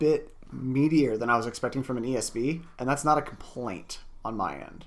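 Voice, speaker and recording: A man talks in a normal speaking voice, medium in pitch with ordinary pitch variation. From US. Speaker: beer podcast co-host and editor. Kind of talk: casual chat.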